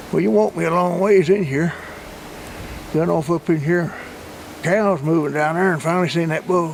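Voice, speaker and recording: A man talks at a moderate pace with a high pitch and ordinary pitch variation. Long, frequent pauses break up his speech, and noticeable background noise is present. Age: 70s. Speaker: hunter. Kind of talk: casual chat. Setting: outdoors.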